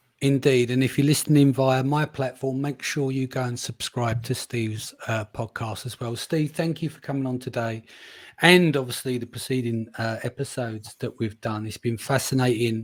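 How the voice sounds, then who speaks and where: The speaker is a man with an East London accent. He keeps a moderate pace and fairly even intonation. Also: medium pitch for a man. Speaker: podcast host. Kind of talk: podcast conversation.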